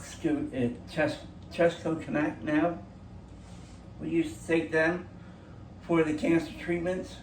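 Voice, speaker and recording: A man's fairly high-pitched speech carries an audible room echo. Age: 60s. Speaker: cancer patient vlogger. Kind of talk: casual vlog monologue. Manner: halting, many fillers and restarts.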